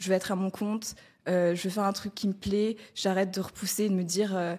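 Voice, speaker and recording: At a fairly quick pace, a woman speaks in a medium pitch that is somewhat breathy, with monotone, flat intonation. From Madagascar. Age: 20s. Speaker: freelance community manager. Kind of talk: testimony. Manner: hesitant, many fillers.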